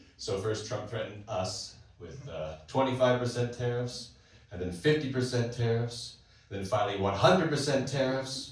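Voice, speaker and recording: Speaking with a Canadian accent, a man uses a medium pitch, ordinary pitch variation and a moderate pace, with big swings in loudness. Noticeable background noise and audible room echo fill the recording. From Canada, British Columbia. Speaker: stand-up comedian. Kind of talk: stand-up. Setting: stage with audience.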